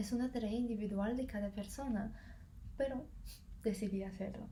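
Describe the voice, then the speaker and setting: This woman's voice is fairly high. She keeps her intonation fairly even. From Russia. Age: 20s. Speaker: university student. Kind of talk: casual talk to camera.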